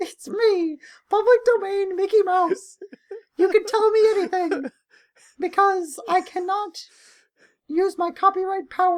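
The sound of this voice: A put-on character voice pitched extremely high. It moves at a moderate pace with long, frequent pauses.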